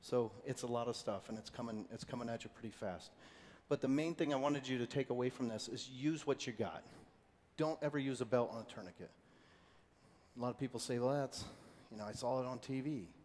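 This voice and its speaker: A man talks at a very fast pace with long, frequent pauses. His pitch is medium, with ordinary pitch variation. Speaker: former military medic, first aid instructor. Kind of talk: training workshop.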